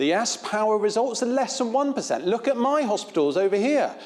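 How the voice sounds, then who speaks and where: A man speaks in a high pitch with lively intonation. Noticeable noise sits behind him. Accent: Devon. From England, Devon. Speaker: infectious diseases physician. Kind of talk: conference talk.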